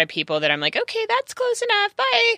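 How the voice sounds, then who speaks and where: Speaking at a fairly quick pace with an American accent, a woman is recorded with a dry, close sound with no echo, though noticeable background noise is present. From California. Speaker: podcast guest. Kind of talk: casual chat. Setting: studio.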